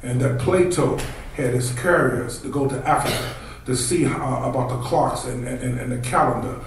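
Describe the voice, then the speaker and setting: With light background noise and audible room echo, a man talks at a moderate pace with fairly even intonation. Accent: American. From Washington, D.C. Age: 50s. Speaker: consultant. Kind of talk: panel discussion. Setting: stage with audience. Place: hall.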